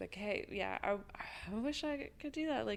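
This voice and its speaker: A woman talks at a moderate pace. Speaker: music store owner. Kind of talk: casual chat.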